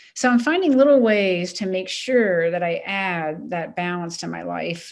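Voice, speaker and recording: A woman's speech in an American accent, moderately paced. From US Mid-Atlantic, Maryland. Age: 60s. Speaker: retired coast guard admiral. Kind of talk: interview.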